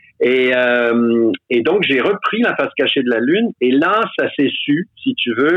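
This is a normal speaking voice. It moves at a fairly slow pace with lively intonation. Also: man. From Quebec. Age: 60s. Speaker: stage actor. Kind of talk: casual chat.

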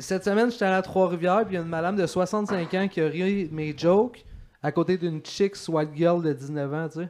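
A man's high-pitched, animated voice in a Quebec accent, at a moderate pace with ordinary pitch variation. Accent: Québécois French. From Quebec, Saint-Hyacinthe. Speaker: comedian. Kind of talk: casual chat.

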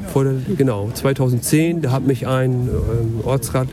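A man speaks at a medium pitch with music in the background. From northern Germany, Lower Saxony. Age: 40s. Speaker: local politician. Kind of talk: casual chat. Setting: outdoors.

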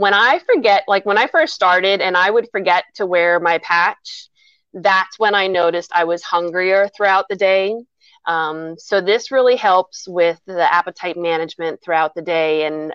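In a plain, everyday voice, a woman talks at a moderate pace with medium pitch and ordinary pitch variation, the sound dry and close with no echo over a quiet background. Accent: American. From Lebanon County, Pennsylvania. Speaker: small business owner. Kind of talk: casual interview.

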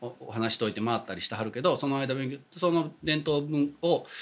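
Moving at a moderate pace, a man uses a normal speaking voice with a fairly high pitch and lively intonation. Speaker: Buddhist priest. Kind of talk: casual chat.

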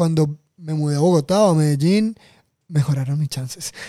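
At a moderate pace, a man with a fairly high pitch and a dark, mellow tone speaks with fairly even intonation. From Colombian Caribbean coast, Montelíbano, Córdoba. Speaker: podcast guest, left-wing activist. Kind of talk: casual chat.

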